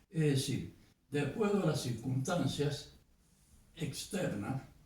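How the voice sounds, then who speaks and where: A man at a very slow pace, fairly high pitch and lively intonation, with audible room echo. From Argentina, Mendoza. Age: 80s+. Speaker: poet and filmmaker. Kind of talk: interview.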